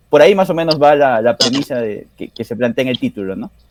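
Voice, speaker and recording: The recording of a man at medium pitch is dry and close, with no echo. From Peru, Arequipa. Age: 30s. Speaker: author and university lecturer. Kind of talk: interview. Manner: halting, many fillers.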